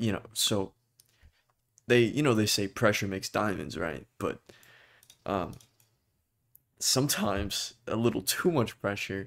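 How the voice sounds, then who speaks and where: A man's fairly low voice with ordinary pitch variation, a fairly slow pace and long, frequent pauses, in a very clean recording with a silent background. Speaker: vlogger. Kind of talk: personal talk to camera.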